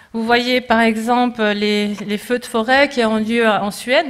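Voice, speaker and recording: Her voice is fairly high for a woman. She keeps her intonation fairly even. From Switzerland. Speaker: climate scientist. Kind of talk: conference talk. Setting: conference with audience. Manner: halting, many hesitations.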